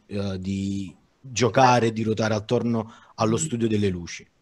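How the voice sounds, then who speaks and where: A man speaks at a fairly slow pace in a fairly low, monotone, flat voice. The background is quiet. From Naples, Italy; Italy. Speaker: digital artist; guest. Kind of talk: informal panel discussion. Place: home room. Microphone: headset.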